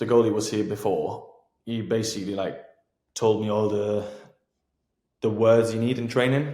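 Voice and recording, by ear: In a dark, mellow tone, a man speaks at a fairly slow pace and fairly low pitch, with fairly even intonation and long, frequent pauses.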